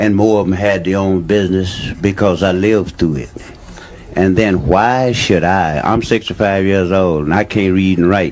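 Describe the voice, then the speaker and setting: Noticeable background noise surrounds a man with an American accent. He speaks at a very deep, low pitch and a moderate pace. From Louisiana. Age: 60s. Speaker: audience member. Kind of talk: heated debate. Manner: animated.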